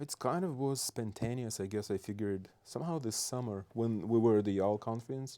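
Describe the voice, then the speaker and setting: Recorded very cleanly with a silent background, a man of medium pitch with a Belarusian accent talks fairly quickly in a dark, mellow tone, with hardly any pauses and ordinary pitch variation. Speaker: state legislator. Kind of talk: casual interview.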